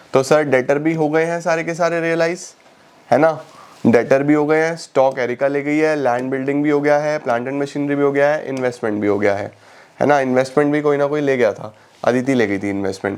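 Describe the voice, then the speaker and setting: A man with a fairly high pitch talks at a fairly quick pace with ordinary pitch variation over noticeable background noise. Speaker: online commerce teacher. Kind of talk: tutorial. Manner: conversational, explaining.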